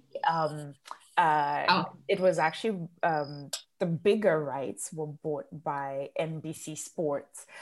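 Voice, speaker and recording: A woman speaks very slowly with a Zimbabwean accent. Her pitch is very deep and low, and her intonation fairly even. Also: big swings in loudness. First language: Shona. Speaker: entrepreneur and coach. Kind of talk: interview conversation. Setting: podcast.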